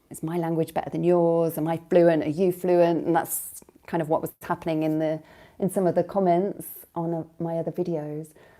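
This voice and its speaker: In a British accent, a woman with a dark, mellow tone speaks at a moderate pace in a monotone, flat way, recorded very cleanly against a silent background. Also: fairly low pitch for a woman. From Britain. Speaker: language coach. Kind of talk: live stream monologue. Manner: hesitant, many fillers.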